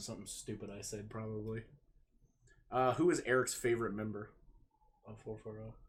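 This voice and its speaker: A man speaks very fast in a fairly low, somewhat breathy voice. His loudness swings widely, and he takes long, frequent pauses. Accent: American. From Ohio, US. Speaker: pro wrestler. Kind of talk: casual chat, live stream Q&A. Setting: live stream.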